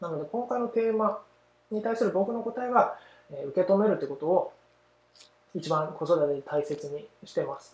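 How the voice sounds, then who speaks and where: Speaking at a moderate pace, a man with a high pitch uses lively intonation and big swings in loudness. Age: 30s. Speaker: parenting podcast host. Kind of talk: casual solo talk; scripted outro.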